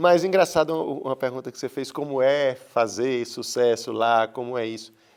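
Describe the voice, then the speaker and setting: A man speaks at a moderate pace and medium pitch, with hardly any pauses. His pitch varies in an ordinary way while his loudness swings widely. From Brazil, Rio Grande do Norte (Seridó, Currais Novos). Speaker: painter. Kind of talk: interview. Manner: halting, with repetitions.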